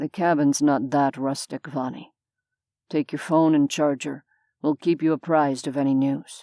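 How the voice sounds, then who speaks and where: Putting on a growling character voice, a woman speaks at a moderate pace with a very deep, low pitch. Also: very clean recording, silent background. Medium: read story. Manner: curt, sardonic.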